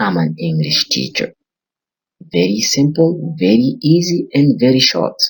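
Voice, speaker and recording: This man talks at a very slow pace with a medium pitch, a somewhat breathy quality, and very wide swings in pitch. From Burkina Faso. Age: 20s. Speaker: English teacher. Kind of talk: language lesson.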